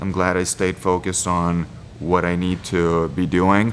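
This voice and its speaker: A man speaks with a Lithuanian accent. His pitch is very deep and low. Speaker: MMA fighter. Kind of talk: interview monologue.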